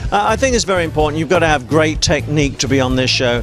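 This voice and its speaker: Clear music plays in the background as a man speaks in a dry recording with no echo. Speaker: judge. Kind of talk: interview answer. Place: hall. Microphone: handheld.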